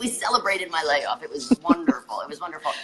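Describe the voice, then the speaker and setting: A loud woman's voice at a very fast pace, lively in intonation, over noticeable background noise. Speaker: physical therapist turned wellness coach. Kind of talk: casual chat.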